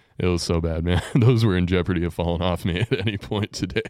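A man's dark, mellow tone at a fairly quick pace, dry and close with no echo, over a quiet background. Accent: Texan. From Texas, Amarillo. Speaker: podcast host. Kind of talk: casual chat.

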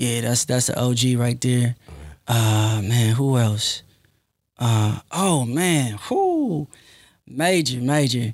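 A man with an American accent at a very slow pace, with long, frequent pauses and very even loudness. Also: medium pitch for a man, ordinary pitch variation. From Compton, California. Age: 20s. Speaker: software developer and entrepreneur. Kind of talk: casual interview.

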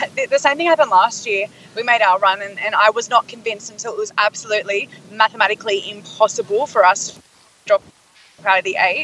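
The speech runs very fast with ordinary pitch variation and big swings in loudness, dry and close with no echo, over noticeable background noise. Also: woman, fairly high pitch for a woman. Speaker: cheerleader. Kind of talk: casual chat.

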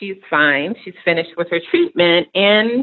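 A woman in a New York accent, with very wide pitch swings at a fairly slow pace. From New York City, Queens. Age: 40s. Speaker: nonprofit operations executive. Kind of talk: casual interview.

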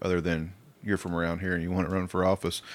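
In an American accent, a man speaks very fast in a very deep, low, monotone voice, on a very clean recording with a silent background. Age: 50s. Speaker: podcast host. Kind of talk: casual chat. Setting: studio.

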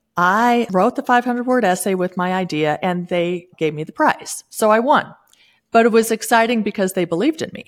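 The recording is very clean, with a silent background. A woman talks in an ordinary speaking voice, mid-pitched and at a moderate pace, with lively intonation and big jumps in volume. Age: 60s. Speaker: author and former savings expert entrepreneur. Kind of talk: casual interview.

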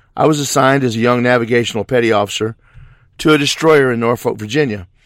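With an American accent, a man speaks at a very fast pace. His voice sits at a medium pitch with ordinary pitch variation. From US South, southeast Missouri. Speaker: truck driver and lay theologian. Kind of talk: pre-recorded testimony.

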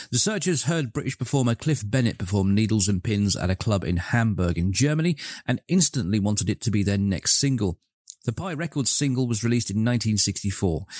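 In a normal speaking voice, a man talks fairly quickly at a medium pitch with lively intonation and very even loudness, the sound dry and close with no echo on a very clean recording with a silent background. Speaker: radio DJ. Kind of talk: radio DJ patter, chatty show links and song intros. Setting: local AM radio studio broadcast. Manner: relaxed, jokey and rambling, self-deprecating about slips; warm, friendly, direct address to listeners.

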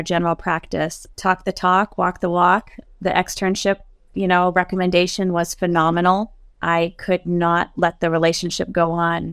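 A woman with an American accent speaks at a fairly low pitch with monotone, flat intonation. Her loudness stays very even, and the sound is dry and close with no echo. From Maine, US. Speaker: dental practice administrator and instructor. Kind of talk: casual panel discussion. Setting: video call.

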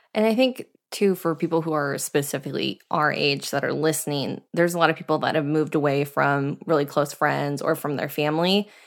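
In a very clean recording with a silent background, a woman with a very deep, low voice speaks at a fairly quick pace with ordinary pitch variation. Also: hardly any pauses. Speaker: podcast co-host. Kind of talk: casual chat.

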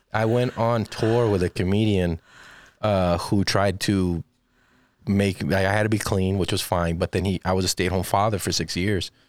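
A man's normal speaking voice in an American accent, fairly low-pitched, at a moderate pace with fairly even intonation and very even loudness, dry and close with no echo, on a very clean recording with a silent background. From Texas, San Antonio. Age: 30s. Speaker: stand-up comedian and podcast producer. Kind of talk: casual interview chat.

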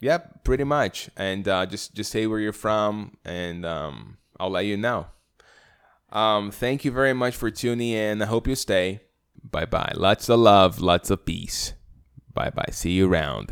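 With a Brazilian accent, a man speaks at a fairly low pitch with ordinary pitch variation. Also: fairly slow pace, very clean recording, silent background. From Brazil, Rio de Janeiro. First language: Portuguese. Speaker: podcast host. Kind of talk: solo podcast introduction monologue. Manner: hesitant, many fillers.

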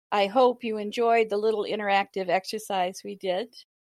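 At a moderate pace and medium pitch, a woman speaks with an unremarkable speaking voice. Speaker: podcast co-host. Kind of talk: casual interview conversation.

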